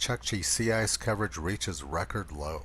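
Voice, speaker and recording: A man speaks at a fairly quick pace with vocal fry. His intonation is lively. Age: 60s. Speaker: climate commentator. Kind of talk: narrated video commentary.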